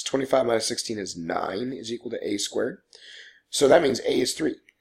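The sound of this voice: A man puts on a raspy, hoarse character voice at a medium pitch, talking at a fairly quick pace.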